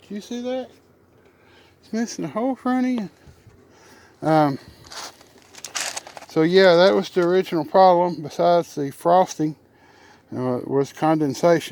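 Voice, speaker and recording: Speaking with a Southern US accent, the voice has a relaxed tone. Long pauses come often. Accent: Southern US drawl. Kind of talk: casual how-to talk to camera. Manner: relaxed, rambling, joking.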